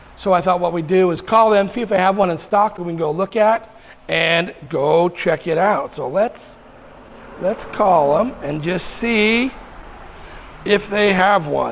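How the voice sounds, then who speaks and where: Noticeable background noise accompanies a man with a high pitch who talks at a fairly slow pace. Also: ordinary pitch variation. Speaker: motorcycle vlogger. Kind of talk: casual vlog talk. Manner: halting, with ums and ahs.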